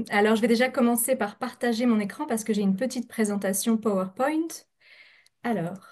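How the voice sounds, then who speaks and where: The delivery comes at a fairly quick pace with ordinary pitch variation. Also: woman, fairly high pitch for a woman. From France. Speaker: scientist, researcher. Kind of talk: scientific presentation. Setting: video call, webinar. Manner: fast; hesitant, many filler sounds.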